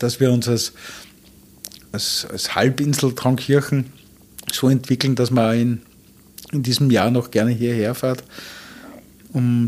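Man at medium pitch with monotone, flat intonation, a fairly slow pace and long, frequent pauses. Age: 50s. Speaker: hotelier and restaurateur. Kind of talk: interview. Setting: hotel suite.

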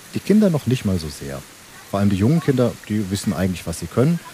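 Over noticeable background noise, a man talks very fast in a fairly low voice with lively intonation. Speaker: lifeguard at a swimming pool. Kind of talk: interview, explanatory. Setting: outdoor swimming pool.

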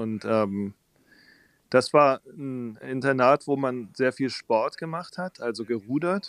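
Very slowly, a man speaks at a medium pitch with ordinary pitch variation. The recording is very clean, with a silent background and a dry, close sound with no echo. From southern Germany (Baden-Württemberg, near Tübingen). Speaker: pastor and musician. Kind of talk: interview conversation.

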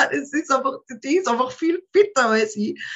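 Pitch swings very widely in this woman's speech. Her voice is raised and projected. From Austria, market town. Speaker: rock musician. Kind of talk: interview.

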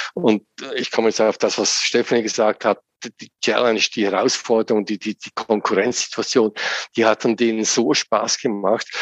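A man speaks in a monotone, flat delivery. The sound is dry and close, with no echo. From central Switzerland, Lucerne. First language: Swiss German (speaking German). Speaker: business simulation developer and trainer. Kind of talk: interview. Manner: repeats words, halting.

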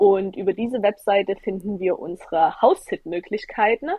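Here a woman talks at a moderate pace. Her pitch is medium, with ordinary variation. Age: 20s. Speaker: travel blogger and former nurse. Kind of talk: interview. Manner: animated.

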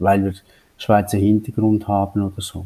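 His voice fairly low with a dark, mellow tone, a man speaks at a moderate pace. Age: 60s. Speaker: company founder and board chairman. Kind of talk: interview.

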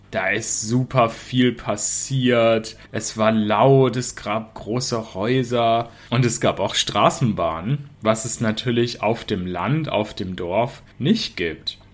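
Speaking at a very slow pace with hardly any pauses, a man uses a medium pitch and ordinary pitch variation. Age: 30s. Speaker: podcast host, German teacher. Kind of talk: storytelling for language learners. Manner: slow, clear.

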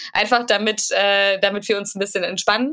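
At a moderate pace, a woman talks in a normal speaking voice of medium pitch, with ordinary pitch variation. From Germany, Paderborn (Westphalia). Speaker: podcast co-host. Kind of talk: casual chat.

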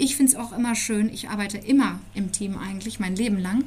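Against noticeable background noise, a woman speaks at a very fast pace in a fairly high pitch. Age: 40s. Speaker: parenting blogger and author. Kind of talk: interview. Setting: in person.

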